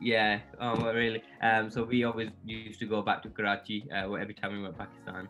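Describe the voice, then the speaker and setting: Over music in the background, a man with a Yorkshire accent and medium pitch speaks at a very fast pace in a monotone, flat intonation. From northern England, Yorkshire. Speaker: content creator. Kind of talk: interview. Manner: hesitant, many fillers and repeats.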